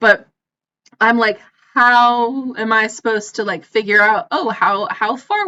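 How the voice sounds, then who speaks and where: The speaker has an American accent. The tone is bright and sharp. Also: woman. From United States. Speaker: gaming YouTuber. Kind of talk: casual commentary over gameplay.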